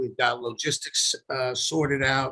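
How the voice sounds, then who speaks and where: A man's bright, sharp tone. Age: 60s. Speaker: company CEO. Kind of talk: interview. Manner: halting.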